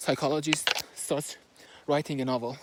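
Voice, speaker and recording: A man speaks at a moderate pace with a Persian accent. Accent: Persian accent, noticeable. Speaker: book reviewer. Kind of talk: book summary and analysis. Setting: recording while moving, handheld. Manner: halting, with fillers.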